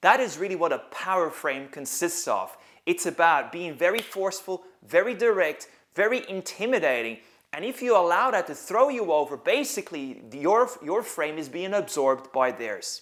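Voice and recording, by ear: With lively intonation and few pauses, a man talks in a high voice with a fairly bright tone. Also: moderate pace.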